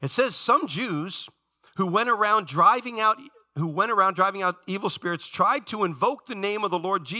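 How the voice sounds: Against a quiet background, this is a natural reading voice.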